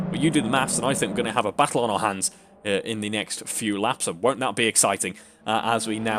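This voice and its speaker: A man talks very fast, his pitch moving by a normal amount, with clear background noise present. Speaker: sim racing commentator. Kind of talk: live commentary. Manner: mumbling; animated.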